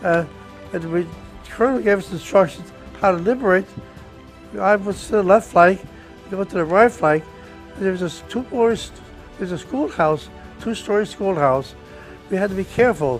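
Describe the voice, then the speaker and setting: A man with an American accent and a high pitch, at a moderate pace with long, frequent pauses, ordinary pitch variation, and music playing in the background. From New Jersey. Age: 80s+. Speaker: war veteran. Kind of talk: interview answer.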